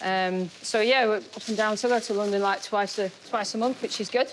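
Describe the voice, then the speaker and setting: A woman with a northern English accent, medium pitch, fairly even intonation and a fairly quick pace. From northern England. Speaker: chef. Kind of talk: cooking demonstration.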